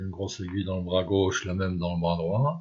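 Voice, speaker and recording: Against a quiet background, a man speaks in a somewhat breathy voice at a fairly low pitch. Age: 60s. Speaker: cancer patient sharing experience. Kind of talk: personal testimony. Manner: hesitant, with many fillers.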